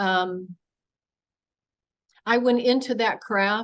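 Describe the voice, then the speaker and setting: This woman's voice sits at a fairly high pitch with ordinary pitch variation. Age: 70s. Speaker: UFO experiencer and author. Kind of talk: presentation Q&A testimony. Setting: public meeting with audience in room and online.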